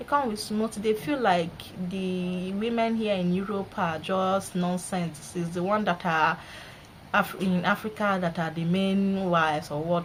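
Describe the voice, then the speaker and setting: This voice moves at a moderate pace with ordinary pitch variation and a Nigerian accent. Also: woman. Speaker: vlogger. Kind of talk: casual vlog monologue. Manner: animated.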